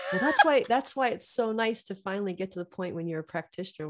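A woman with an American accent, very fast and lively in intonation, amid noticeable background noise. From US West, Reno, Nevada. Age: 40s. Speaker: yoga teacher. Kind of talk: casual interview.

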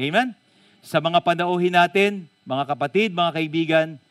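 Close and dry, with no echo at all, a man's speech is heard. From Philippines, Bulacan. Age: 50s. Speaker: pastor. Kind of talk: sermon. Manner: animated.

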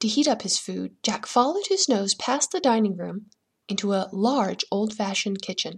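The reading is done in an unforced reading voice with lively intonation. The background is quiet.

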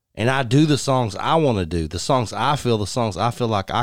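A man's medium-pitched voice with a Texan accent and lively intonation, on a very clean recording with a silent background. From West Texas (Odessa). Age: 40s. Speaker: country musician. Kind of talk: casual chat. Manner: animated.

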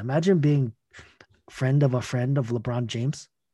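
Somewhat breathy and dark, mellow in tone, a man speaks at medium pitch with ordinary pitch variation and a moderate pace. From Scarborough, Toronto, Canada. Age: 30s. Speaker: breakdance event organizer. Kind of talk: casual interview.

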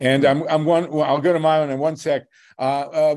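This man's voice sits at a fairly high pitch, with ordinary pitch variation. The background is quiet. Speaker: activist radio host. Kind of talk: casual chat. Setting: video call. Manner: animated.

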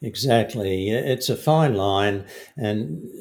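A man with a fairly low voice and an Australian accent. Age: 60s. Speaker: fishing guide and filmmaker. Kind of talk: casual interview.

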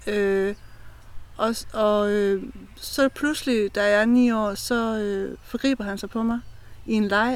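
A woman's fairly high voice at a very slow pace, broken by long, frequent pauses. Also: fairly even intonation. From Denmark, eastern Jutland (Brejning Strand). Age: 40s. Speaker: mental health ambassador. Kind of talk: personal testimony. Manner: halting.

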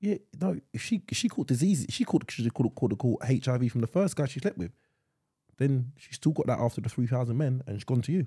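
A man with an English accent speaks at a fairly quick pace in a dark, mellow, somewhat breathy tone, with medium pitch, lively intonation and a dry, close sound with no echo. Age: 30s. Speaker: podcast co-host. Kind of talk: casual chat.

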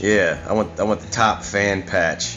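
Music plays in the background as a man speaks in a very deep, low voice. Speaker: podcast host. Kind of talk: casual rant, solo podcast monologue. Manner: informal, profane, opinionated.

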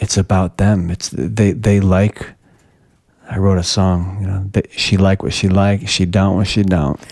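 A man speaks in an ordinary speaking voice, fairly low in pitch. His pace is fairly slow and his intonation fairly even. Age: 40s. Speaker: podcast host and cancer survivorship coach. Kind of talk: casual interview.

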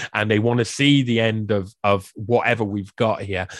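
In a South Welsh accent, a man speaks at a moderate pace on a very clean recording with a silent background and a dry, close sound with no echo. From South Wales. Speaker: researcher and writer on the World Economic Forum. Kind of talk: podcast interview.

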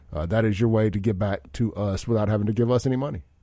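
With a Southern US accent, a man speaks at a very fast pace in a dark, mellow tone, his pitch fairly low and his intonation fairly even. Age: 40s. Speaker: radio host. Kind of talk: talk radio show. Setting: radio studio.

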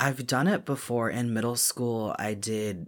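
A man with a slight Southern US accent speaks in a bright, sharp tone with ordinary pitch variation. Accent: slight Southern US drawl. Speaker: podcast co-host. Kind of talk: casual chat about a book.

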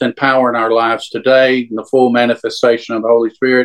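Here a man talks in a medium pitch with a Southern US accent. The sound is dry and close, with no echo. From Louisiana. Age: 60s. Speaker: churchgoer sharing faith story. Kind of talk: testimony. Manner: halting.

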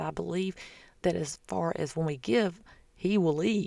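A woman with a Southern US accent speaks in a fairly low voice with vocal fry and lively intonation. The recording is very clean, with a silent background. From US South. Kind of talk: casual faith talk monologue. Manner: chatty.

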